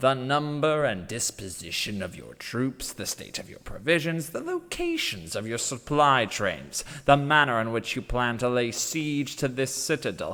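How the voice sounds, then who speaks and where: A man puts on a character voice. His medium pitch moves at a moderate pace. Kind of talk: audiobook character monologue reading. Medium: read story.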